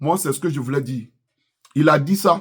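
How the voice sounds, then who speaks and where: In an Ivorian accent, a man speaks at a moderate pace with lively intonation. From Ivory Coast. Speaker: YouTuber, political commentator. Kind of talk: political commentary vlog. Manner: impassioned.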